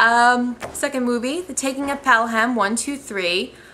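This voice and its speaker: A woman mumbling at a fairly slow pace, fairly high in pitch with ordinary pitch variation and a bright, sharp tone. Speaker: amateur movie reviewer vlogger. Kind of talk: casual vlog review. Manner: hesitant, many filler ums.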